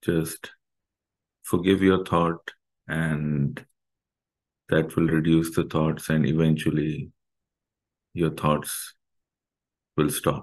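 Very deep and low, a man's voice moves at a very slow pace with long, frequent pauses, very even loudness and fairly even intonation. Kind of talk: guided meditation instruction. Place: home room. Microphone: webcam.

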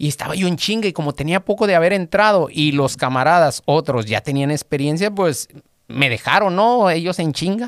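At a moderate pace and with lively intonation, the voice sounds dry with no echo against a quiet background. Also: man, high pitch for a man. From Mexico, Guadalajara; Jalisco, Mexico. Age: 40s. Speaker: auto mechanic; podcast guest. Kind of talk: interview, personal testimony. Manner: halting, repeats words. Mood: reflective, personal. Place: studio. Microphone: studio mic.

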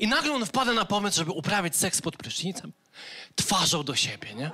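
A man speaks with a Polish accent at a fairly quick pace. Light background noise is present. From Poland. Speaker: stand-up comedian. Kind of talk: stand-up comedy routine. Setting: stage with audience. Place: stage. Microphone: handheld.

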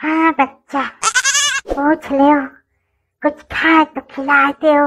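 A woman puts on a cartoonish character voice, high-pitched and monotone with flat intonation. She goes at a very slow pace, and the sound is dry and close with no echo.

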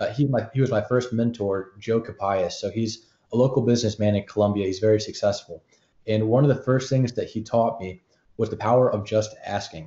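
A man with an American accent talks at a fairly quick pace in a somewhat breathy voice, with audible room echo. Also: medium pitch for a man, fairly even intonation. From US. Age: young. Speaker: student podcaster and entrepreneur; podcast guest. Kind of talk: interview. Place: home room.

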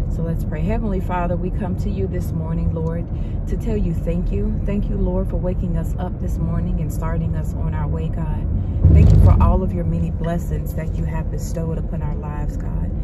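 A woman talks at a fairly quick pace while loud background noise fills the clip. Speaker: mother vlogger. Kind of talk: casual vlog chat, then spoken prayer. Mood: calm, reverent during prayer. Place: car. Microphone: phone near.

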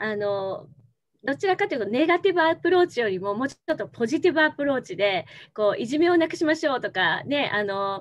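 A woman talks at a fairly quick pace in a high voice. Her pitch swings very widely. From Tokyo. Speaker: former TV announcer, NPO leader. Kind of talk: interview answer. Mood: warm, smiling. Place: home room. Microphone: video call.

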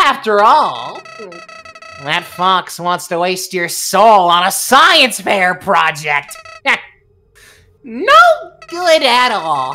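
In a put-on character voice, a female-sounding speaker at medium pitch for a woman moves very slowly, swings her pitch very widely, and leaves long, frequent pauses. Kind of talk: video game voice acting. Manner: chummy, sly, mock-friendly.

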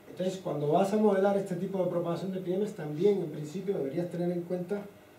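A man is speaking with audible room echo. Light background noise sits behind him. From Cuba, Havana. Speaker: physics professor and researcher. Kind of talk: lecture. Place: classroom.

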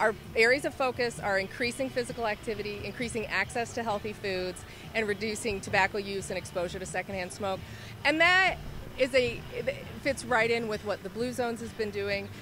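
A woman at a fairly quick pace with ordinary pitch variation, dry sound with no echo, and noticeable background noise. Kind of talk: interview answer. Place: street. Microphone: handheld.

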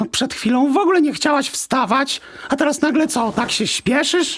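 In a put-on character voice with an extremely high pitch, a man speaks at a fairly quick pace in an anxious tone over light background noise. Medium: audio drama. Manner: fussy, anxious.

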